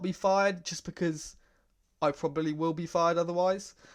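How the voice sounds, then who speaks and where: A man with an English accent speaks in a high pitch with monotone, flat intonation. The background is quiet. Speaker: gaming YouTuber. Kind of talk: gameplay commentary. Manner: casual, lots of fillers.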